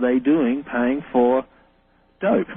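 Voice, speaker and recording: A man with an Australian accent, medium in pitch and fairly slow. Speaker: reverse speech researcher. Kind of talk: radio interview.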